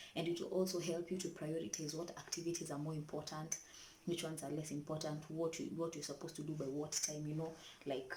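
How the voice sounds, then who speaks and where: Room echo is audible around a woman speaking quietly at a fairly quick pace. Her pitch is very deep and low. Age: young. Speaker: vlogger, student mother. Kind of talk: casual vlog tips. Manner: quiet, keeping voice down.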